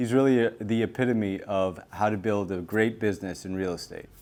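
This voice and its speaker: In a very clean recording with a silent background, a man with a plain, everyday voice speaks at a fairly quick pace and a fairly low pitch. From Latin America, moved to US as toddler. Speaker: podcast host. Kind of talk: casual interview.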